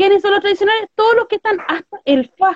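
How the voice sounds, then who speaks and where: A woman with a Chilean accent talks at a fairly quick pace. Her voice is extremely high. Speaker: political podcast host. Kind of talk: casual political chat.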